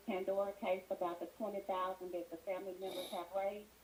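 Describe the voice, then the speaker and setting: Here a woman talks at a very fast pace in a medium pitch. There is noticeable background noise. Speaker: caller. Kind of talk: call-in show. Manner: soft-spoken. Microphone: too quiet at first.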